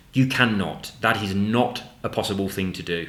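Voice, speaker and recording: There is audible room echo around a man whose pitch is fairly low. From English Midlands, Nuneaton near Coventry. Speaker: gaming YouTuber. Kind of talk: casual chat.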